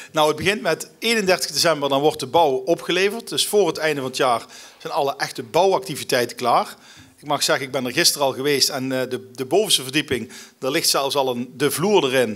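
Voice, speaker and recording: Behind this man, the background is quiet. His pitch is fairly high and varies in an ordinary way. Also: fairly quick pace. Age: 40s. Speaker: local government alderman; guest. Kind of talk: interview. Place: stage. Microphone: podium.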